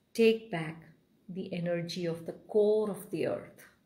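Speaking at a very slow pace with an Indian accent, a woman uses a soothing, gentle tone at a medium pitch, somewhat breathy and with fairly even intonation. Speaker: meditation guide. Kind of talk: guided meditation. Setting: live video stream. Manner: soothing, slow, gentle. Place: home room.

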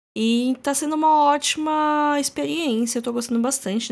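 A woman talks at a moderate pace, captured in a very clean recording where the background is silent. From Brazil. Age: 30s. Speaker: podcast host. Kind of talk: casual solo podcast monologue.

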